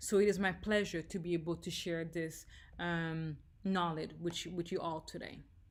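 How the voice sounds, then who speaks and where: A woman talks at a moderate pace with a slight French accent. Her pitch sits fairly low. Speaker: leadership trainer. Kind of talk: leadership training talk. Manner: energetic.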